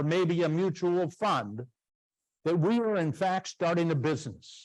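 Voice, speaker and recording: A man with an American accent talks fairly slowly in a high voice. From Washington State, US Pacific Northwest. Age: 70s. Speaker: retired financial educator, university alumnus speaker. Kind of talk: lecture. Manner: animated.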